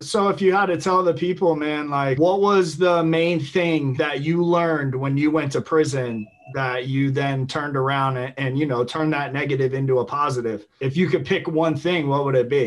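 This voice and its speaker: With hardly any pauses, a man speaks at a moderate pace, his fairly high voice showing ordinary pitch variation. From Tampa Bay area, Florida; Florida. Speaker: YouTube host, former prisoner; podcast host interviewer. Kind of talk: casual interview. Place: home room. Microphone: video call.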